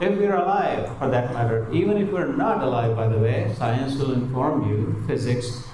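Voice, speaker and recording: The speaker has a Marathi accent, a moderate pace and lively intonation. Audible room echo and noticeable background noise are present. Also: man. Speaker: spiritual speaker on the Gita. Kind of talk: spiritual talk to live audience. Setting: hall with live audience. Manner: animated, hesitant fillers.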